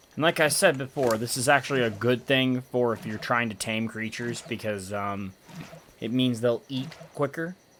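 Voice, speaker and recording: Moderate speech from a man, with noticeable background noise. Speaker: gaming YouTuber. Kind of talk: let's play commentary.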